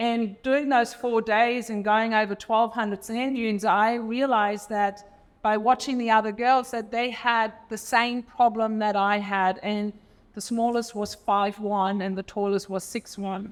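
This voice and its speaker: A woman with a German accent speaks at a fairly slow pace. Her voice is fairly high, with monotone, flat intonation. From Germany. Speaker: entrepreneur and former elite swimmer. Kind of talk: panel discussion. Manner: halting, many fillers.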